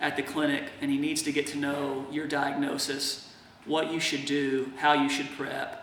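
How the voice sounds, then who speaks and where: Fairly high male voice amid noticeable background noise and audible room echo. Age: 30s. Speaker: patient video blogger. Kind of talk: video diary monologue. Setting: in his workshop. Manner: slow; casual, hesitant.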